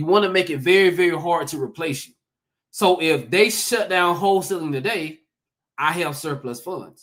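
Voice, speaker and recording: With a Southern accent, a man talks at a moderate pace in an animated tone, his high pitch showing ordinary variation. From US South, Georgia. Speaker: real estate investor, former teacher. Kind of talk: conference talk. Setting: livestreamed summit.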